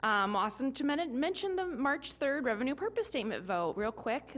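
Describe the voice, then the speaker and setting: A woman speaks in a high voice with very wide pitch swings. She barely pauses at all. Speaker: school district communications staff. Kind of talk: public meeting report. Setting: board meeting in city hall. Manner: fast.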